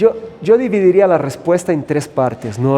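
A man speaks fairly slowly against noticeable background noise. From Brazil, São Paulo. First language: Portuguese (speaking Spanish). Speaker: hotel general manager. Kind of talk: interview. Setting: on location at a hotel.

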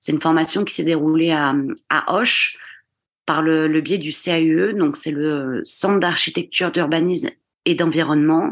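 Against a quiet background, a woman speaks at a fairly slow pace. Her pitch is fairly low. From southwestern France, Gironde. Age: 30s. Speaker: stonemason. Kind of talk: interview. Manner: hesitant.

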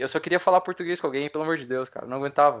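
The man's fairly high voice moves with ordinary pitch variation. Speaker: former exchange student. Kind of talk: casual chat.

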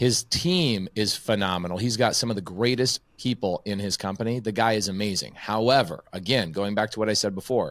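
Recorded very cleanly against a silent background, a man with a plain, everyday voice speaks at a fairly low pitch and moderate pace, with ordinary pitch variation and a dry, close sound with no echo. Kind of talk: casual interview chat.

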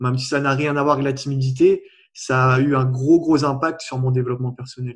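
A man speaks at a fairly quick pace in a medium pitch. His voice is somewhat breathy, with monotone, flat intonation. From Réunion. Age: 20s. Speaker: personal development coach. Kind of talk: interview.

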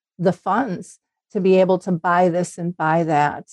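In an Upper Midwest accent, a woman talks at a moderate pace in a monotone, flat intonation, with a dry, close sound and no echo. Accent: Upper Midwest American. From Minnesota. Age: 60s. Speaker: Alzheimer's advocate. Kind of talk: casual interview.

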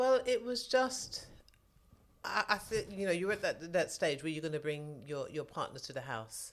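A woman with a London accent talks at a moderate pace and a fairly low pitch, making very wide pitch swings. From southwest London. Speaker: mother of host. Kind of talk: casual interview.

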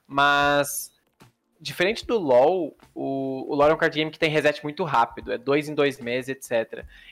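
A man's normal speaking voice at a fairly high pitch, with ordinary pitch variation, on a very clean recording with a silent background. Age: 20s. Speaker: pro card game player and streamer. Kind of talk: casual interview.

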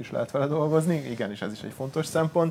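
Male voice with vocal fry and lively intonation. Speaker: music gear shop salesman. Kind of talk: casual product advice talk. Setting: live stream from a studio.

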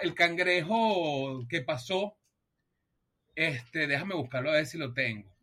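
Fairly slow, lively speech from a man with a Venezuelan accent and a bright, sharp tone. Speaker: music podcast co-host. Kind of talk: casual chat.

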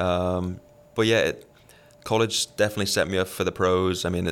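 Someone with a Liverpool accent speaks at a fairly slow pace in a very clean recording with a silent background. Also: man. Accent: Liverpool English (Scouse). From England, Liverpool. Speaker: professional tennis player. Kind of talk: casual interview.

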